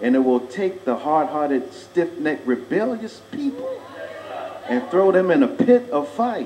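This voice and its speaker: A man's voice, heard over noticeable background noise, moves at a moderate pace with very wide pitch swings. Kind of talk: funeral eulogy, sermon-like address to congregation. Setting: church, live audience. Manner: preaching, emphatic.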